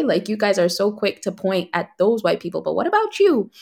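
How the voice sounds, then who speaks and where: This woman has an American accent and a medium pitch. She talks at a fairly quick pace. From United States. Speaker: content creator. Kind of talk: casual interview.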